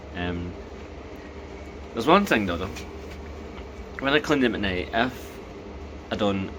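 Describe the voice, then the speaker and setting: Noticeable background noise and audible room echo accompany a man whose very deep, low voice moves at a fairly quick pace. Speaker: vlogger reviewing denture products. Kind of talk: casual video diary. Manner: fast.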